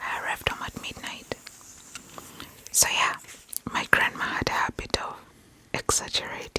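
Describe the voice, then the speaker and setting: A woman whispering at a moderate pace, with long, frequent pauses, big swings in loudness and noticeable background noise. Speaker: ASMR creator. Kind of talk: storytelling about childhood memories. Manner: soft, whispered.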